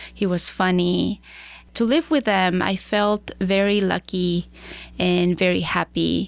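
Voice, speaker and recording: A woman speaks at a very slow pace with a Spanish accent and fairly even intonation. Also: medium pitch for a woman, very even loudness. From Chihuahua, northern Mexico. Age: 30s. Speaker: accountant and scholarship founder. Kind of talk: interview conversation.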